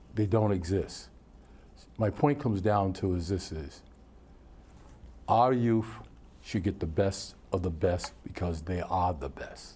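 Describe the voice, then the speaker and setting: Speaking at a fairly slow pace with long, frequent pauses, a man uses a very deep, low, somewhat breathy voice of dark, mellow tone and ordinary pitch variation. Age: 70s. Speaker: retired coach and recreation director. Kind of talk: casual interview.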